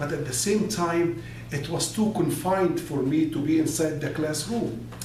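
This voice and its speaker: Amid noticeable background noise and audible room echo, a man with an Arabic accent speaks at a fairly high pitch with ordinary pitch variation. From Egypt (Alexandria). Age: 60s. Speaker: business consultant and motivational speaker. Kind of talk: personal life story monologue.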